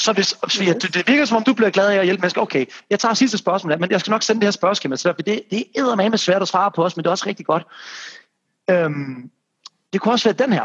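A man's high voice at a very fast pace, with ordinary pitch variation and a dry, close sound with no echo. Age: 30s. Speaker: podcast host and personal trainer. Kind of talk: casual interview. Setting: remote call. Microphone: remote recording, poor sound.

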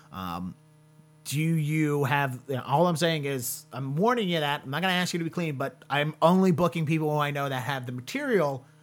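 Fairly quick speech from a man with an American accent, fairly high pitch and ordinary pitch variation, music in the background. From US Mid-Atlantic. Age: 30s. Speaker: podcast host and comedian. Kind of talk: casual interview.

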